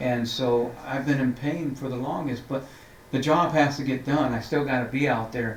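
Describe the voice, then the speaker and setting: The man's medium-pitched voice stays monotone and flat at a moderate pace. Audible room echo and noticeable background noise fill the recording. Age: 60s. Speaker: city council member. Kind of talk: interview. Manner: halting, many repeated words.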